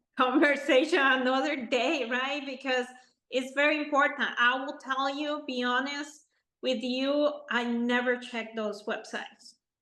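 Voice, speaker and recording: A woman's raised, projected voice, high-pitched with a bright, sharp tone, monotone and flat, at a fairly slow pace. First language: not English. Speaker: podcast host, architect. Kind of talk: interview.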